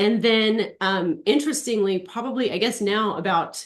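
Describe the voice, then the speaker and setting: A woman with an ordinary speaking voice talks at a moderate pace, her pitch varying in an ordinary way. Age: 40s. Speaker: aesthetician and natural health practitioner. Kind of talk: webinar interview.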